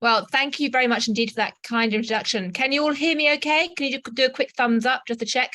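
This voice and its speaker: A woman with a high pitch speaks in a raised, projected voice that is bright and sharp, at a very fast pace with hardly any pauses. Her loudness stays very even, and her pitch varies in an ordinary way. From England. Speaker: journalist and anthropologist. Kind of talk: invited talk. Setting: video call from a student dorm.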